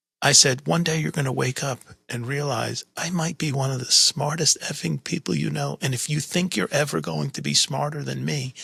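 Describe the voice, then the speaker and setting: The sound is close and dry, without echo. A man speaks at a moderate speed. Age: 60s. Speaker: podcast host. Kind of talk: casual interview conversation.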